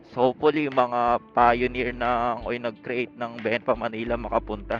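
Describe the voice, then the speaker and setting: Music plays in the background as the voice moves at a moderate pace in a monotone, flat intonation. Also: man, medium pitch for a man. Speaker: motorcycle vlogger. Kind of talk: casual vlog narration while riding. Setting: riding a motorcycle outdoors on city streets. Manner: loud; chatty, rambling with fillers.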